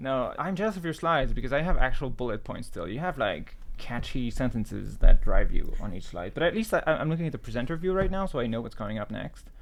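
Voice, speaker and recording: Speaking at a very fast pace with hardly any pauses, a man with a French accent uses a fairly high pitch, very wide pitch swings and vocal fry. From France. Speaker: podcast co-host, programmer presenting. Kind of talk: casual chat. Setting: video call.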